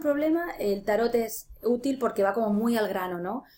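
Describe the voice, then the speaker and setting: This woman has an unremarkable speaking voice. Her pitch is fairly high. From Spain, Ciudad Real. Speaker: life coach and tarot reader. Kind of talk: interview.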